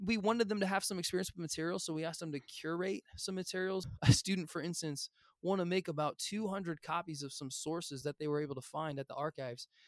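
This man with a Midwestern American accent races at a very fast pace with hardly any pauses, his high pitch captured in a dry, close sound with no echo. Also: ordinary pitch variation. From US Midwest, Illinois. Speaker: high school history teacher. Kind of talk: interview. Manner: casual, enthusiastic.

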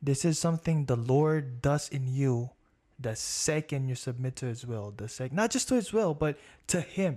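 The man's voice is fairly high, somewhat breathy, and dark and mellow in tone. He keeps a moderate pace with ordinary pitch variation. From Philippines. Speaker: casino-area worker and pastor's son. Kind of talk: casual faith conversation.

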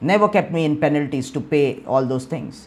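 A man speaks at a fairly quick pace and a fairly high pitch. His pitch swings very widely. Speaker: pastor. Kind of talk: sermon. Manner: animated.

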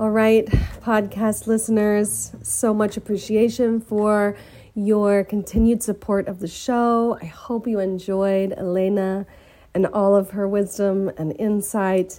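At a fairly slow pace, a woman speaks in a dark, mellow tone with monotone, flat intonation. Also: medium pitch for a woman. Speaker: podcast host. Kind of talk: scripted intro and outro.

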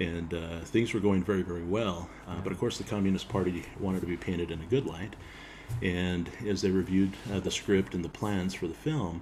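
A man's very deep, low voice, somewhat breathy, with an American accent, fairly even intonation and a moderate pace. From Utah. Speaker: bagpiper and filmmaker. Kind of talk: casual chat. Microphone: built-in laptop mic.

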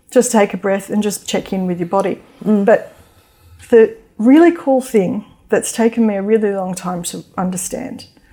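Speaking with an Australian accent, a woman has a dark, mellow tone and ordinary pitch variation. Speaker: mindfulness teacher and author. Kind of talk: interview; guided meditation.

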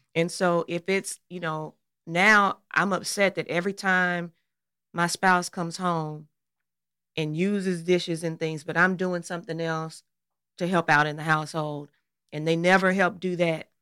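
With a slight Southern US accent, a woman talks at a moderate pace in a fairly low pitch with a bright, sharp tone and flat, monotone delivery. The sound is dry and close with no echo, on a very clean recording with a silent background. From Arkansas, US South. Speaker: pastor's wife and podcast co-host. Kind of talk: casual podcast conversation with spouse.

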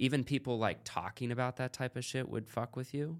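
Recorded very cleanly against a silent background, a man with an American accent speaks in a plain, everyday voice at a medium pitch. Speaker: podcast host. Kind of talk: casual interview chat. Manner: casual, profane.

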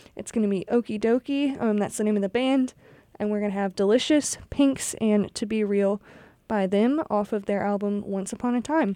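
Over a silent background in a very clean recording, a woman talks at a moderate pace, her fairly high voice dark and mellow in tone with ordinary pitch variation. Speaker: college radio DJ. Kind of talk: radio DJ patter introducing songs and station IDs. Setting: radio studio broadcast. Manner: friendly, casual, upbeat with frequent filler 'um'.

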